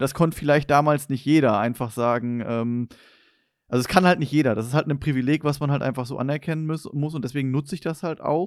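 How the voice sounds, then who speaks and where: Over a very clean recording with a silent background, a man in an ordinary speaking voice talks at a fairly quick pace with a fairly high pitch and ordinary pitch variation. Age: 20s. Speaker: podcast host. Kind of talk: casual chat.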